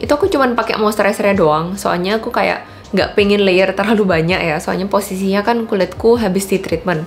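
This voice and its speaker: A woman's medium-pitched voice at a fairly quick pace, with ordinary pitch variation and music in the background. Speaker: beauty vlogger. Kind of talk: product review. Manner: casual.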